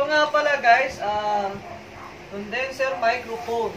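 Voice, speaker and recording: Noticeable background noise fills the recording. A man talks through it. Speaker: vlogger. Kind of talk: casual vlog chat. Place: home room.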